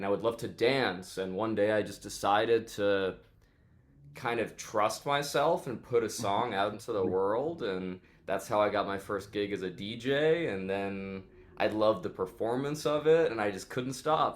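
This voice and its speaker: This man speaks with a New York accent at a moderate pace. His pitch is fairly low, with ordinary variation. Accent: New York American. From New York City. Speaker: DJ and electronic music producer. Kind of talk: interview.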